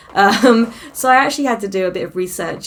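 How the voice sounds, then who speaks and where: A woman with a British accent, moderate pace and ordinary pitch variation. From Britain. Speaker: fantasy author, vlogger. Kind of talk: casual vlog update. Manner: chatty, many fillers and self-corrections.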